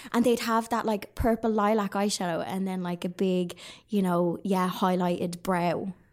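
With a Dublin accent, a woman speaks in fairly even intonation. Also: medium pitch for a woman, moderate pace. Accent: Dublin Irish. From Ireland, Dublin. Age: 30s. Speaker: online crafter and retail worker. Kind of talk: casual chat. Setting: studio.

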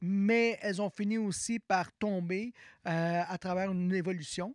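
A man's high voice with fairly even intonation comes through in a very clean recording with a silent background and a dry, close sound with no echo. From Quebec. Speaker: musicologist and university music department director. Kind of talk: interview.

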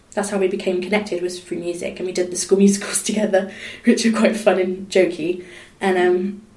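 A woman's medium-pitched, monotone, flat delivery at a very fast pace, with noticeable background noise. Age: 20s. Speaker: singer and charity volunteer. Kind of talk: casual interview chat.

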